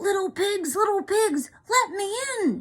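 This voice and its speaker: In a put-on character voice, a woman speaks fairly slowly at an extremely high pitch, squeaky and growling at once. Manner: growling, hungry.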